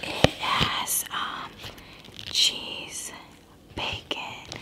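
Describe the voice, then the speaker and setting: The clip features a woman whispering. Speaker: eating vlogger. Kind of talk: casual vlog chat. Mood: cheerful, relaxed. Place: home room. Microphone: phone near.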